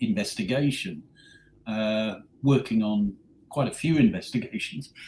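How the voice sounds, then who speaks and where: A man speaks at a medium pitch in a somewhat breathy voice. Very wide pitch swings mark his moderate pace. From England, Northamptonshire. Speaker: paranormal investigator, former actor. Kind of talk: interview. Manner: hesitant, many ums.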